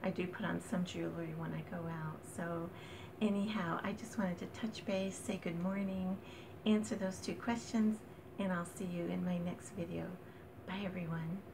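This woman keeps fairly even intonation and a moderate pace while noticeable background noise runs underneath. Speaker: vlogger. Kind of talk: casual vlog chat. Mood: warm and friendly. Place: home room. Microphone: phone near.

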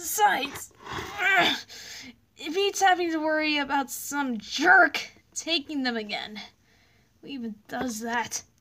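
A woman's high-pitched voice at a fairly slow pace, broken by long, frequent pauses. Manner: exasperated, sarcastic.

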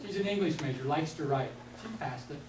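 Audible room echo surrounds a man speaking at a fairly quick pace. His fairly high voice has lively intonation.

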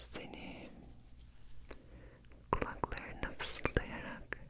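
A woman whispers very slowly in a soothing tone. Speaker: ASMR creator. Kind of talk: ASMR sleep and relaxation session with affirmations. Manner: close whispered, soothing. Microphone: studio mic.

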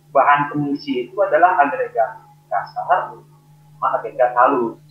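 With audible room echo and light background noise, a man speaks at a fairly slow pace. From Indonesia. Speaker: engineer presenter; presenter. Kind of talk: technical webinar presentation. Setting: video call. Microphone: video call.

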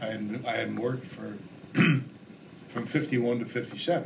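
Noticeable background noise accompanies a man's voice. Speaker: interviewee. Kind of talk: interview answer. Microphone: old recording.

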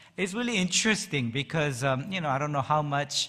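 Against a quiet background, a man talks in a bright, sharp tone with lively intonation. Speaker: pastor. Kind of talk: sermon. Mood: warm, light-hearted. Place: church. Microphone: podium.

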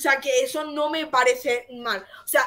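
Raised and projected, a woman's voice in an Andalusian accent comes across bright and sharp with an animated tone. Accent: Andalusian (Jaén). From Jaén, Andalusia. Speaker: co-host. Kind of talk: casual chat. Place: home room.

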